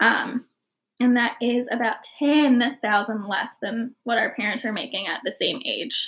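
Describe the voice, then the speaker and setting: A woman with a high-pitched voice talks at a fairly slow pace with fairly even intonation. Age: 20s. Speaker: podcast host. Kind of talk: casual chat. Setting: drinking cider while recording.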